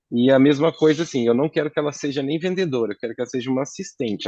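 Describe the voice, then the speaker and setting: A man speaks with lively intonation. The sound is dry and close with no echo, and the background is quiet. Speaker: AI consultant teaching a client. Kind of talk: tutorial. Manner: fast.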